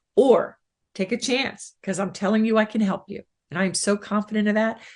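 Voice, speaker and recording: Using a put-on character voice, a woman speaks at a fairly quick pace in a raspy tone with medium pitch. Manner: confident, convincing.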